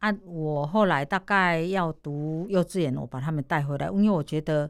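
Against a silent background on a very clean recording, a woman speaks with a very deep, low pitch and ordinary pitch variation. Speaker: massage therapist and street performer. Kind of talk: radio interview, casual.

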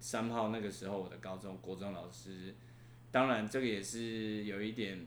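Vocal fry runs through a man's fairly low-pitched voice at a moderate pace. His intonation is lively, with audible room echo around him. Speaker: university professor. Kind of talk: interview. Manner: halting.

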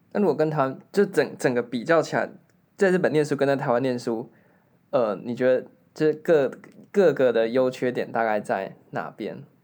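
Using a normal speaking voice, a man speaks with lively intonation at a moderate pace. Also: medium pitch for a man. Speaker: podcast host. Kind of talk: casual chat.

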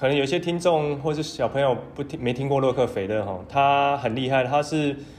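At a moderate pace, a man with a medium pitch speaks in a plain, everyday voice. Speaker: podcast co-host, education social enterprise founder. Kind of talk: casual chat.

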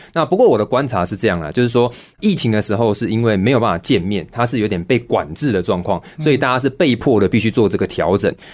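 A man speaks at a medium pitch with lively intonation. His pace is very fast, with hardly any pauses. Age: 30s. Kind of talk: radio interview.

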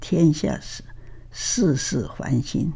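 A woman speaks at a very slow pace. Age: 80s+. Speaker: retired professor. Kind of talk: testimony.

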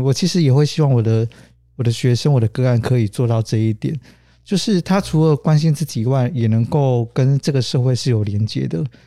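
This man talks at a fairly quick pace and medium pitch. His tone is dark and mellow. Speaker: social worker. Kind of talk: interview.

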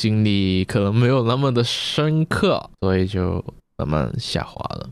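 In a Macau accent, a man with a fairly low pitch speaks on a very clean recording with a silent background. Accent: Macau Cantonese-accented Mandarin. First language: Cantonese (speaking Chinese). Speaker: podcast co-host. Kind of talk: casual chat.

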